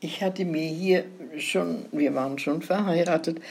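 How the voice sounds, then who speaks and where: A woman's voice, very deep and low-pitched. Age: 90s. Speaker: grandmother telling life stories. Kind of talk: casual chat.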